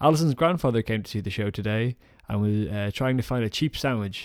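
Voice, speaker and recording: In a very clean recording with a silent background and a dry, close sound with no echo, a man with a Dublin accent speaks at a fairly quick pace, his medium pitch showing ordinary pitch variation. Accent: Dublin Irish. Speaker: comedian. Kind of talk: spoken diary monologue.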